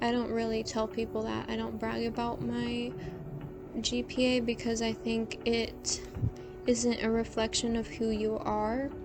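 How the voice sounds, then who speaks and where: Soft-spoken and calm in tone, a woman talks at a fairly slow pace with music in the background. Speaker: student and ASMR drawing creator. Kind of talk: casual soft-spoken talk to camera. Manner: soft-spoken, calm.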